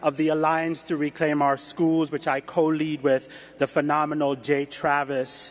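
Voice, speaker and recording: A man speaks at a fairly slow pace in a fairly high pitch, with noticeable background noise behind him. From Jamaica. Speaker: education activist. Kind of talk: speech.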